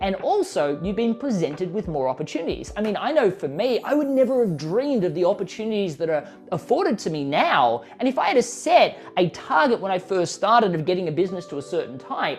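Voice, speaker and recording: Animated and fairly quick with hardly any pauses, a man with an Australian accent speaks at a high pitch with very wide pitch swings over noticeable background noise. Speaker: author and business coach. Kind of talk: interview. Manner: fast.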